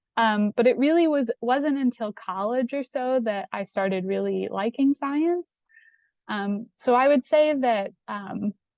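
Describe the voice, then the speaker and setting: With a Midwestern US accent, a woman speaks at a fairly slow pace and fairly high pitch, with ordinary pitch variation, in a dry, close sound with no echo. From Indiana, US Midwest. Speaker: PhD candidate, scientist. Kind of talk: Q&A talk to students. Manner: hesitant, many fillers.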